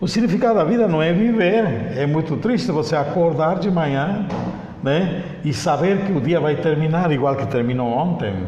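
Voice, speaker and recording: A man with a fairly high pitch and lively intonation speaks at a moderate pace, his loudness very even. Audible room echo and noticeable background noise fill the recording. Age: 60s. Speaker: mediator and conciliator, spiritist speaker. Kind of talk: interview on spirituality.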